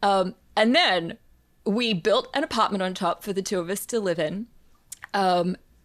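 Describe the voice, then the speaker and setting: A woman with an Australian accent, medium pitch, ordinary pitch variation and a moderate pace. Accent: non-Philadelphia, Australian. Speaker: composer and professor. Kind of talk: interview.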